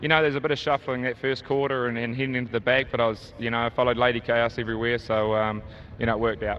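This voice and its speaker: With a New Zealand accent, a man speaks at a very fast pace in a monotone with flat intonation. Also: medium pitch for a man. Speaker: harness racing driver. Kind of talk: post-race interview. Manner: hesitant, many fillers.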